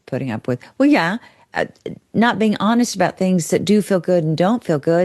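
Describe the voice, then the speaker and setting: With lively intonation, a woman talks in an unremarkable speaking voice at medium pitch, with a dry, close sound, no echo, and a quiet background. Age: 60s. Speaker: therapist. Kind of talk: casual chat.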